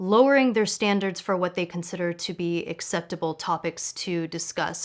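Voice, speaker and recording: Here a woman uses a normal speaking voice at a medium pitch and moderate pace. The recording is very clean, with a silent background. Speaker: online show host. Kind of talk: interview question.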